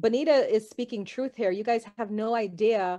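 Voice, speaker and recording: Over a quiet background, a woman talks in a fairly high voice with a dark, mellow tone. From developing country abroad. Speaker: psychic; guest. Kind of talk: casual chat. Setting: video call. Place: home room. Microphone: video call.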